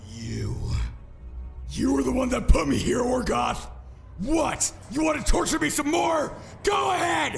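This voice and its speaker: Shouting in a put-on character voice, a man speaks at a moderate pace with long, frequent pauses. Background noise is clear. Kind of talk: audio drama. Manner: anguished, shouting.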